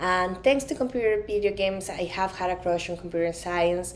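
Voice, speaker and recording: A woman with a Colombian accent speaks at a medium pitch with ordinary pitch variation. Audible room echo surrounds her voice. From Colombia, Medellin. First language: Spanish. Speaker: conference speaker, product designer. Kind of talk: conference talk.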